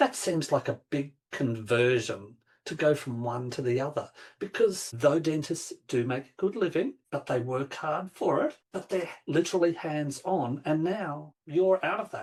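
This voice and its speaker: A man's fairly high, somewhat breathy voice, fairly slow and lively, with big swings in loudness. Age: 50s. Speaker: podcast host. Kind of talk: podcast interview.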